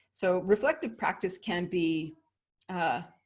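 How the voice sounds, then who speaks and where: An ordinary speaking voice carries a Canadian accent. Its pitch varies in an ordinary way. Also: woman. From Canada. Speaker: leadership consultant and author. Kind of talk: interview.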